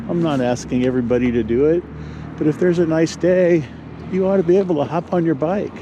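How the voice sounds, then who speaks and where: An American-accented man talks at a very fast pace, with ordinary pitch variation and very even loudness. Noticeable background noise runs underneath. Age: 60s. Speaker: e-bike vlogger. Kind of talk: casual vlog while riding. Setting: outdoors on a bike. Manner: casual, hesitant with fillers.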